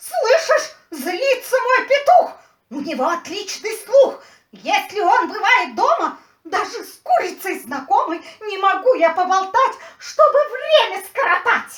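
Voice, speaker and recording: The voice sounds female and is a put-on character voice. Its pitch is extremely high for a woman. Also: moderate pace. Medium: audio drama. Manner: fussy, chattering.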